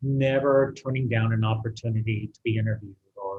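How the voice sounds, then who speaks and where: This man's pitch sits in the medium range, and he uses a normal speaking voice. The intonation remains fairly even. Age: 60s. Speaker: artist. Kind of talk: interview.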